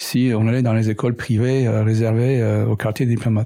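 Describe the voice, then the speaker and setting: In a very clean recording with a silent background, a man at medium pitch speaks at a fairly slow pace with a dark, mellow tone. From Middle East. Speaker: entrepreneur and engineer. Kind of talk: interview conversation. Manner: hesitant, many fillers.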